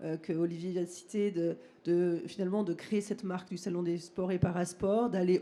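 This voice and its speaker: At a fairly slow pace, a woman speaks with a dark, mellow tone, medium pitch and fairly even intonation. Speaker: trade show director. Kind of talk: ceremony speech. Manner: hesitant, many fillers.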